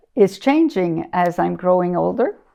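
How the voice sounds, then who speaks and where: Her pitch falls in the medium range. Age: 60s. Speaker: community elder. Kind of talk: interview. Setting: her living room. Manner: hesitant, many fillers.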